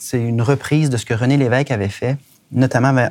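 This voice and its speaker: This very clean recording with a silent background captures a man speaking at a medium pitch. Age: 40s. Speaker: politician. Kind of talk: interview.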